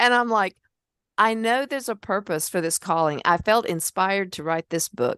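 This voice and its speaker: With lively intonation, a woman talks at a moderate pace and medium pitch against a quiet background, the sound dry and close with no echo. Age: 60s. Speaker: podcast host and memoir author. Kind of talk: casual interview conversation. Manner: animated storytelling.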